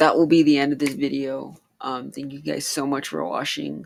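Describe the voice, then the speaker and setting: Mumbling in a put-on character voice, a man speaks raspy and fairly high-pitched at a moderate pace. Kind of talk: casual, youtuber sign-off.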